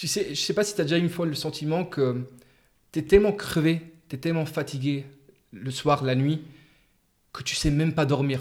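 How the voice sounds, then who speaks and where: With long, frequent pauses, a man speaks at a moderate pace in a fairly high pitch with ordinary pitch variation. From Luxembourg. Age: 20s. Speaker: psychology student and podcaster. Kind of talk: casual interview.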